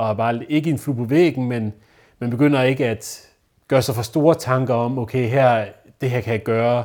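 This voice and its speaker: In a very clean recording with a silent background, a man speaks at a medium pitch. He keeps a moderate pace and fairly even intonation. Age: 20s. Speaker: newly graduated social educator. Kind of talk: interview testimony. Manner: halting.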